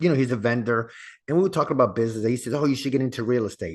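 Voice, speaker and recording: A man with an ordinary speaking voice speaks at a medium pitch with ordinary pitch variation. The background is quiet. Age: 60s. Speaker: real estate investor and podcast host. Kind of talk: interview. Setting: podcast.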